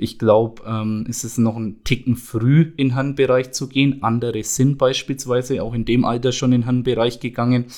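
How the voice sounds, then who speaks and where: At a moderate pace, a man speaks with medium pitch and monotone, flat intonation. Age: 20s. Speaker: youth football coach. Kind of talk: casual chat.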